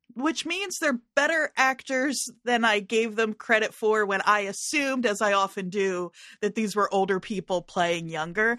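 A woman with a fairly high pitch and a bright, sharp tone in a dry, close sound with no echo. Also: lively intonation, moderate pace. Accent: New Jersey. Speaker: podcast co-host. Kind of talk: casual chat.

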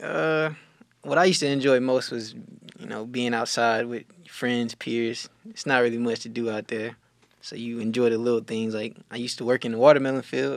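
A man with a Southern US accent and big swings in loudness. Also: medium pitch for a man, ordinary pitch variation, fairly quick pace. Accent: Southern US (Georgia). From US South, rural south Georgia. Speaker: college track and field athlete. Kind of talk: casual interview.

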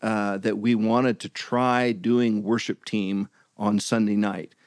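On a very clean recording with a silent background, a man has an unremarkable speaking voice at a medium pitch. He talks at a fairly slow pace, and the sound is dry and close with no echo. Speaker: missionary and former pastor and music minister. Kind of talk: casual interview.

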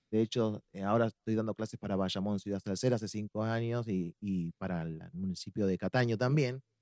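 At a fairly quick pace, a man speaks in a fairly low voice with a dark, mellow tone and ordinary pitch variation. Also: dry, close sound with no echo. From Argentina, La Plata (Buenos Aires). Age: 40s. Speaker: salsa dance teacher. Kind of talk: casual chat.

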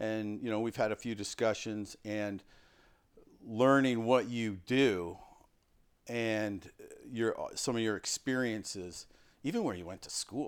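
A man speaks in an ordinary speaking voice at a fairly low pitch, with fairly even intonation. The recording is very clean, with a silent background. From Canada. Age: 50s. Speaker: coaching podcast host. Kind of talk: casual interview.

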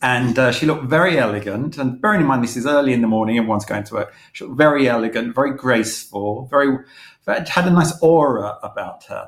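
The speaker talks at a fairly quick pace with a London accent. Pitch variation is ordinary. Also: man, medium pitch for a man. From London (East London, Manor Park). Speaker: magazine publisher and former advertising creative director. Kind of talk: interview.

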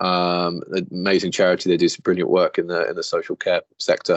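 This man speaks with a British accent. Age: 30s. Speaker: property finance executive. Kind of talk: interview.

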